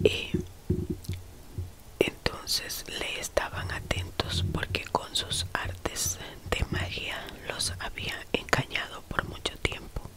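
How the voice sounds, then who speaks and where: Very slow whispering with long, frequent pauses over noticeable background noise. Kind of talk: Bible reading, whispered ASMR. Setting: relaxation/sleep video read to camera. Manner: whispered, soft-spoken, slow.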